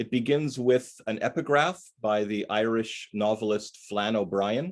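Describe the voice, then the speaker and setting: With a Canadian accent, this man has a plain, everyday voice of medium pitch, ordinary pitch variation and a fairly slow pace. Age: 60s. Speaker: poet. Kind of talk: poetry reading. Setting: video call from his living room.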